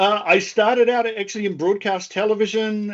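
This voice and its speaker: The voice belongs to a man speaking with a New Zealand accent. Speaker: government data advisor. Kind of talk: panel webinar conversation.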